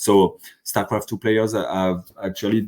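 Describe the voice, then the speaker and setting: A man speaks with a French accent. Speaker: sociology professor and conference organizer. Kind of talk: podcast interview. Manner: halting, many fillers and restarts.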